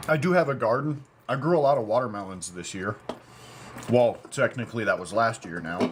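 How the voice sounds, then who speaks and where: At a medium pitch, a man talks fairly quickly with very wide pitch swings and big swings in loudness, against noticeable background noise. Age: 30s. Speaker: livestreamer building an off-grid community. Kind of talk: livestream chat with viewers. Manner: fast.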